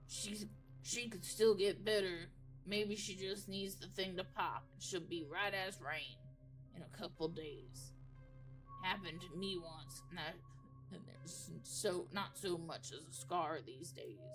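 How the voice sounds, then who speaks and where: A put-on character voice sits at a middle pitch. Music plays clearly in the background. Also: fairly slow pace. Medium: solo performance. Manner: drawling, halting.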